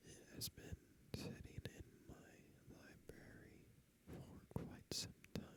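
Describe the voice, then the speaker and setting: A man whispers at a very slow pace. His loudness swings widely. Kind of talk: whispered ASMR gaming commentary. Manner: whispered, soft-spoken, slow.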